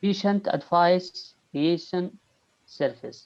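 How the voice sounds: A man speaks slowly in a high pitch with ordinary pitch variation. His tone is slightly mellow, with vocal fry.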